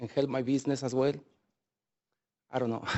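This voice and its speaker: A man with a non-native accent speaks at a medium pitch in a flat, monotone delivery. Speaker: small business owner. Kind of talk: public hearing testimony. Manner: halting.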